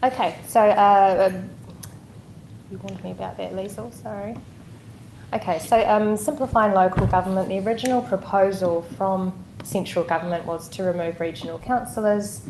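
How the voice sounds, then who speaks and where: A woman speaks at a moderate pace in a New Zealand accent, medium in pitch, with ordinary pitch variation and big swings in loudness. Noticeable background noise and audible room echo fill the recording. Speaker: local government director. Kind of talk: council meeting presentation. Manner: soft-spoken.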